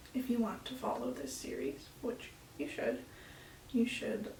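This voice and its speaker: This soft-spoken voice comes through with audible room echo and noticeable background noise. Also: woman. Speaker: flutist vlogger. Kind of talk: casual vlog talk to camera.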